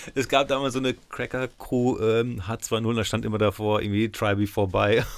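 This man has an ordinary speaking voice. He speaks at a fairly low pitch and a moderate pace. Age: 40s. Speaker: DJ and podcast host. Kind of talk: casual interview. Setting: studio.

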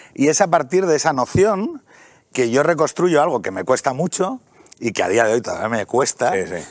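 Fairly high-pitched and with vocal fry, a man speaks at a moderate pace with very wide pitch swings. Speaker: podcaster and author. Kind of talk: casual talk show interview. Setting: TV studio.

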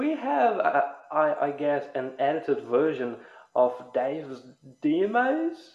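In a room with audible echo, the words come out at a very slow pace. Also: man. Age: 20s. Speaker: podcast host. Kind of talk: casual chat.

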